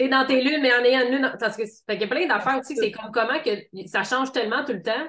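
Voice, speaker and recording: A woman with a Quebec accent speaks at a very fast pace. Her pitch is high, with ordinary pitch variation. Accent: Québécois French. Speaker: podcast host. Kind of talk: casual podcast interview.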